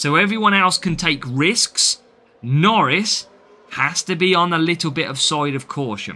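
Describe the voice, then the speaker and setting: A man's fairly high voice in a British accent, bright and sharp in tone, with lively intonation and a fairly slow pace. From Britain. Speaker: mobile game streamer. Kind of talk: live gameplay commentary with chat. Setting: live stream.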